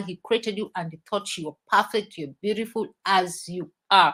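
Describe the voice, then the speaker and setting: A woman with an ordinary speaking voice talks at a moderate pace and medium pitch with lively intonation, on a very clean recording with a silent background. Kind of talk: motivational talk on a live stream.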